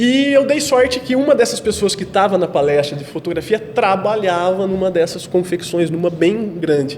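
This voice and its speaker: A man with a high pitch speaks at a moderate pace with lively intonation. Noticeable background noise sits behind him. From Brazil, interior of São Paulo state (Itapira). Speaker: photographer. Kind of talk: podcast interview. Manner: halting, repeats words.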